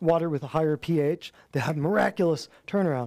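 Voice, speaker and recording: In a very clean recording with a silent background, a man with an American accent talks at a fairly high pitch, his dark, mellow tone heard dry and close with no echo and ordinary pitch variation. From Michigan. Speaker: natural health practitioner. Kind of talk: class talk to a live audience. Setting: office classroom with audience. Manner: animated.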